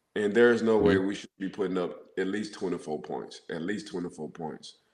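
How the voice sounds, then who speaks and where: Audible room echo surrounds a man with a fairly low voice. He moves at a fairly slow pace with ordinary pitch variation. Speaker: former NFL player and football analyst. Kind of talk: casual sports talk show. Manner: animated, repetitive phrasing. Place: home room. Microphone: video call.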